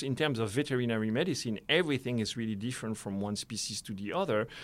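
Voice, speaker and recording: A man with a French accent at a very fast pace, hardly any pauses and ordinary pitch variation, in a very clean recording with a silent background. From France. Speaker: conservation biologist. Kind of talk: interview. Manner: hesitant, with fillers and repetitions.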